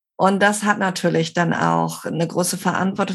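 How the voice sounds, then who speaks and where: A woman's medium-pitched voice with vocal fry, on a very clean recording with a silent background. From Barcelona, Spain. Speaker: intercultural trainer and psychologist. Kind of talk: interview conversation.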